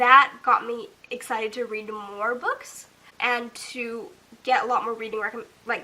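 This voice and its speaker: A woman's fairly high voice with ordinary pitch variation, against noticeable background noise. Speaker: booktuber. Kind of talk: casual talk to camera. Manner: rising intonation, sounds like asking questions; hesitant, says um often.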